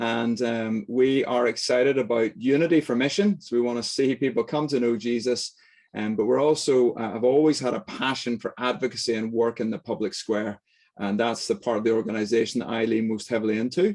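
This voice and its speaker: Speaking at a fairly quick pace with a Northern Irish accent, a man keeps a medium pitch and ordinary pitch variation. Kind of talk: lecture. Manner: fast; animated.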